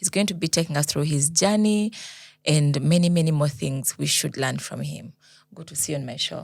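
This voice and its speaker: A woman's somewhat breathy voice, very deep and low in pitch, at a fairly quick pace, in a very clean recording with a silent background. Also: ordinary pitch variation, big swings in loudness. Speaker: podcast host. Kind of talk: interview host.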